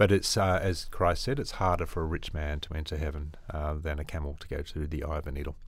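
A man with a very deep, low pitch and an Australian accent, at a very fast pace with hardly any pauses and fairly even intonation. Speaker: missionary doctor. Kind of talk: interview.

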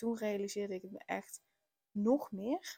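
Recorded very cleanly against a silent background, a woman's voice sounds dry and close with no echo, set at medium pitch, fairly slow in pace and fairly even in intonation. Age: 30s. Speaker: podcast host, parenting coach. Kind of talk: personal monologue. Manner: hesitant, many filler words.

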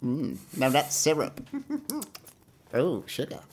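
This is a put-on character voice. Its pitch is low-to-middle. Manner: regal, sweet.

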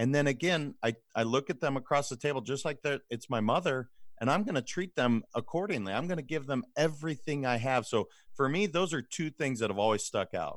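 Over a very clean recording with a silent background, a man with a fairly high pitch uses a plain, everyday voice, speaking fairly quickly with lively intonation. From Montana. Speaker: leadership coach and financial advisor. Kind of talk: interview.

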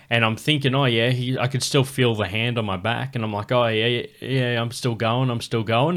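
Man with an Australian accent, medium in pitch with fairly even intonation at a fairly quick pace, on a very clean recording with a silent background. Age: 30s. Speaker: comedian, podcast host. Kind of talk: casual chat.

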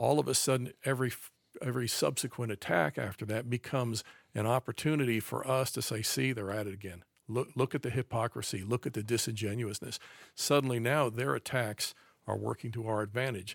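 Recorded with a dry, close sound, no echo and a silent background, a man with an American accent talks at a fairly quick pace with vocal fry, a medium pitch and ordinary pitch variation. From US, raised around the country. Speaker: conservative author and commentator. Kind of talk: casual chat.

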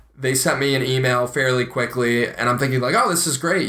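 Noticeable background noise runs under the recording. A man with an American accent speaks at a fairly quick pace. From US Midwest, Ohio. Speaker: podcast co-host, aspiring actor. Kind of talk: casual chat.

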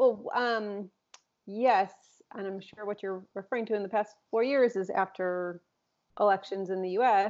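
A woman with an ordinary speaking voice and medium pitch talks at a fairly slow pace, with fairly even intonation and big swings in loudness. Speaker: psychologist podcast host. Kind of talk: casual conversation between co-hosts. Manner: chatty, with frequent backchannel interjections.

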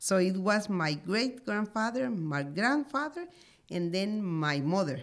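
A woman with a Spanish accent speaks at a medium pitch and a fairly slow pace. Her pitch swings very widely. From Honduras, Marcala. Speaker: coffee farmer. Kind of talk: interview. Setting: studio.

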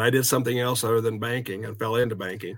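A medium-pitched male voice with a Midwestern American accent. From US Midwest, southeast Kansas. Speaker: banking credit executive. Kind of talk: interview.

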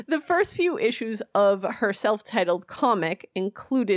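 A woman with a normal speaking voice talks at a moderate pace and fairly high pitch. Her intonation is lively, and the sound is dry and close with no echo. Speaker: podcast co-host. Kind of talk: casual chat. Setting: remote recording.

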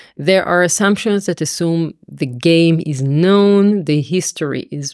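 The voice shows ordinary pitch variation in a dry, close sound with no echo, on a very clean recording with a silent background. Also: woman. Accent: Israeli. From Israel. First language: Hebrew. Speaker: mathematics professor. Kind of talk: interview explanation.

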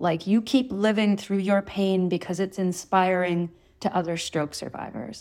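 On a very clean recording with a silent background, a woman with a plain, everyday voice speaks in a Canadian accent at medium pitch with fairly even intonation. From Thunder Bay, northern Ontario, Canada. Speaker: author and osteopath. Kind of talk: interview.

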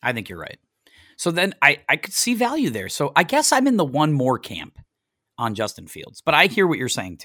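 Man with an American accent, fairly high pitch, vocal fry, bright sharp tone, very wide pitch swings, big swings in loudness and a moderate pace, on a very clean, dry, close recording with no echo and a silent background. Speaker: podcast host. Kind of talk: casual chat. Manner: chatty, jokey.

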